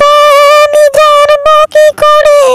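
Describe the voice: Over faint music in the background, a woman does a cartoonish character voice at an extremely high pitch, fairly bright in tone, slow in pace and monotone with flat intonation.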